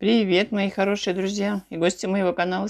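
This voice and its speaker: The speaker is a woman. Little to no sound is heard behind her. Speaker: food vlogger. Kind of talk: casual vlog chat. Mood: warm, chatty. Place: home room. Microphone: phone near.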